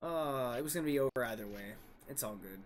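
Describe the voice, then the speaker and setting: There is music in the background. A man speaks at a medium pitch with ordinary pitch variation. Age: 30s. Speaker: card game streamer. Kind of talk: live gameplay commentary. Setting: live stream.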